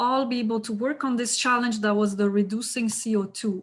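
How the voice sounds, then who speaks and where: A woman speaks with a Quebec French accent in a fairly high, somewhat breathy voice, keeping her intonation fairly even. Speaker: event host. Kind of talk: event moderation.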